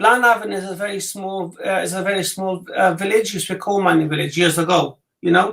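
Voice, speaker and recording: Very fast male voice, high for a man, with a Welsh accent and fairly even intonation. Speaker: psychic reader. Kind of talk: casual chat; psychic reading.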